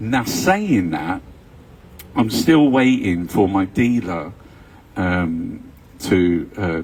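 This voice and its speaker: A London accent shapes this voice. It belongs to a man. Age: 60s. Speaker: vlogger. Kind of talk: casual monologue. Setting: live stream at home. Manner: rambling with fillers and hesitations.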